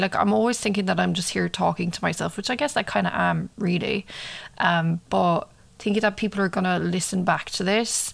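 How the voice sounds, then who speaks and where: This woman speaks with an Irish accent. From Ireland. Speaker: true crime podcaster. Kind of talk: casual monologue and case narration. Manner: casual with frequent fillers.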